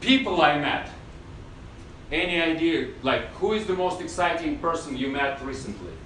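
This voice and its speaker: High-pitched man with lively intonation at a moderate pace, with noticeable background noise and audible room echo. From Russia. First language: Russian. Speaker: acting teacher. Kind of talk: masterclass lecture.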